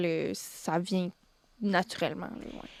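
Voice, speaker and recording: A woman's monotone, flat voice in a very clean recording with a silent background and a dry, close sound without echo. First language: Spanish (speaking French). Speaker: singer-songwriter. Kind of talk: radio interview. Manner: halting, many fillers.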